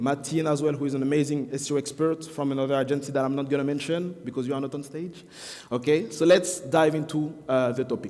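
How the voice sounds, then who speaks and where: A man's very fast speech with a French accent, fairly high in pitch and fairly even in intonation. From France. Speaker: SEO marketing expert. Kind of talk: conference talk. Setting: stage with audience.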